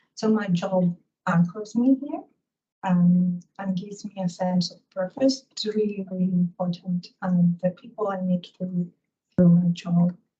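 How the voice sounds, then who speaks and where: A woman speaks very slowly at medium pitch, somewhat breathy and in a dark, mellow tone. Her intonation stays fairly even. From Greece. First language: Greek. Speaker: policy analyst. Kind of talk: panel discussion.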